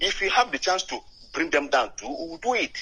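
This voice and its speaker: A man speaks at a moderate pace with a Nigerian accent. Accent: Nigerian Igbo English. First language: not English. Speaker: caller. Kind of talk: call-in comment. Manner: halting.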